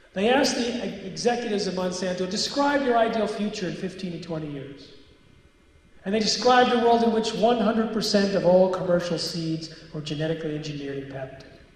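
A high-pitched man talks fairly quickly with lively intonation and big swings in loudness. Audible room echo surrounds his voice. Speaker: author and anti-GMO speaker; guest lecturer. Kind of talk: lecture. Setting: stage with audience. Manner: animated. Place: hall. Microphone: handheld.

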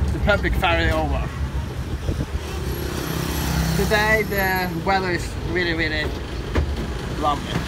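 Loud noise fills the background. Through it comes a woman's voice. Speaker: travel vlogger. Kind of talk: casual vlog chat. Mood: relaxed, pleased. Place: bus. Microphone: phone near.

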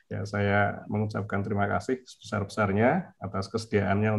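A man speaks in a somewhat breathy, fairly low voice with monotone, flat intonation. Light background noise is present. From Indonesia. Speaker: university department head. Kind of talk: welcome speech. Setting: video call. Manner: formal. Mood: polite, grateful. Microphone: video call.

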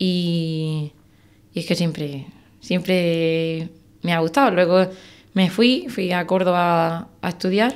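Speaking very slowly with long, frequent pauses, a woman uses a fairly low voice and ordinary pitch variation. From Andalusia, Spain (Algeciras); Andalusia. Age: 20s. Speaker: wildlife biologist and hunter; podcast guest. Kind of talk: interview. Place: studio. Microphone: studio mic.

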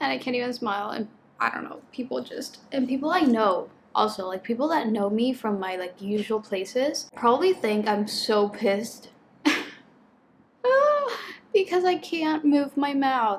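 Over light background noise, a woman with a high pitch talks at a fairly slow pace, her intonation lively. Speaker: book vlogger. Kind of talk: casual vlog chat. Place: home room. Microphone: camera far.

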